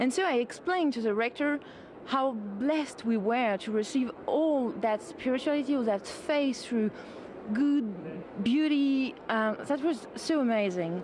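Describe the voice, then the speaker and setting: In a French accent, a woman speaks at a fairly slow pace and a high pitch, with lively intonation and very even loudness. Noticeable background noise is present. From France. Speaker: sculptor. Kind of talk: TV interview.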